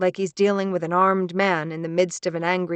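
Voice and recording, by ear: The text is read aloud in a natural voice, its intonation fairly even.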